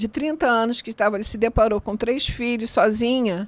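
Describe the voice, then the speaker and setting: A woman talks in a plain, everyday voice with ordinary pitch variation. The recording is very clean, with a silent background. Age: 60s. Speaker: interviewee sharing life story, chromotherapy practitioner. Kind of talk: interview testimony.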